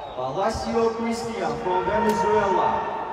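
Against loud background noise and audible room echo, a man talks at a very slow pace. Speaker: ring announcer. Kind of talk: formal announcement. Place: stadium.

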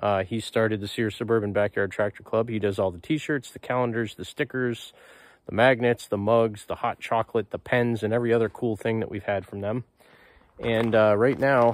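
At a moderate pace, a man speaks with fairly even intonation in a dry sound with no echo. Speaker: hobbyist vlogger. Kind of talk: casual vlog chat. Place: garden. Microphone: phone near.

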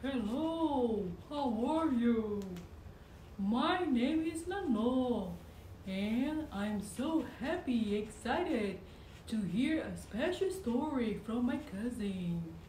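A cartoonish character voice that sounds female speaks very slowly at a high pitch, with a slight echo. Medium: puppet. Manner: upbeat, excited.

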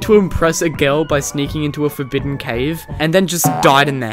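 Clear music plays behind a man's voice. He talks at a fairly quick pace with ordinary pitch variation. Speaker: gaming youtuber. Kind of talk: gameplay commentary narration. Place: home room. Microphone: headset.

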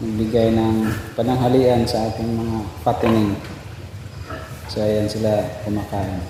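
A man talks fairly slowly at a medium pitch with monotone, flat intonation and long, frequent pauses, over noticeable background noise and audible room echo. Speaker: pig farmer and vlogger. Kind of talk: tutorial. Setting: outdoors.

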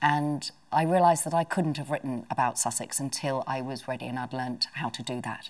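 A woman's very deep, low voice at a fairly quick pace, with ordinary pitch variation. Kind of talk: interview answer. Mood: warm, reflective. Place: home room. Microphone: lapel.

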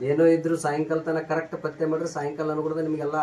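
Noticeable background noise sits under the speech. A man talks with a fairly high pitch. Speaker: traditional Ayurvedic healer. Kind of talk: instructions to patients; promotional statement to camera. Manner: repetitive.

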